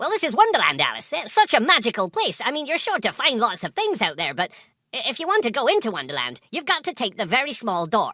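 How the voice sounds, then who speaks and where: Speaking very fast, a man puts on a character voice. It sits at an extremely high pitch and swings very widely. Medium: audio drama. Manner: friendly, hesitant.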